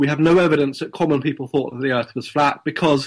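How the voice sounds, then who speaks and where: In a very clean recording with a silent background, a man with a southern English accent speaks at a fairly high pitch with fairly even intonation. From Kent, England. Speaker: author and historian of science. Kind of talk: interview. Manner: hesitant, many fillers.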